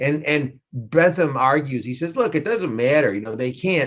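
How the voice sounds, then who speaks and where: The speaker has a New York accent, lively intonation and a moderate pace. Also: man. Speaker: law professor. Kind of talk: lecture. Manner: animated.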